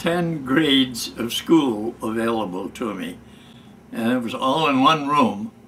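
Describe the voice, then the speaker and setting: Over noticeable background noise, a man's fairly high-pitched voice moves with lively intonation. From Michigan. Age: 90s. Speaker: war veteran. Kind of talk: storytelling. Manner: halting.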